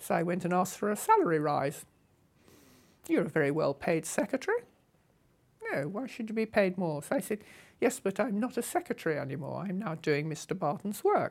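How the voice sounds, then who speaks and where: A medium-pitched woman's voice with a southern English accent, lively intonation, a fairly quick pace and long, frequent pauses. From England. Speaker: motorcycle traveller. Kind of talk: interview storytelling. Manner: animated.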